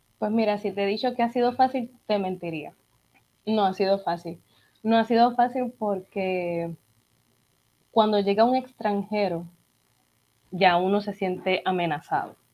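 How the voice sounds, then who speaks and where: At a fairly slow pace with long, frequent pauses, a woman speaks in a dark, mellow tone at a medium pitch with ordinary pitch variation. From Puerto Rico. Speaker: opera singer and music teacher. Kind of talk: casual interview.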